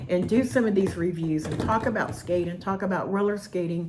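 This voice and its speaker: Against noticeable background noise, a woman speaks at a moderate pace in a medium pitch with ordinary pitch variation. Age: 60s. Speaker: roller skating hobbyist reviewer. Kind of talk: product review. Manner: casual, rambling with hesitations.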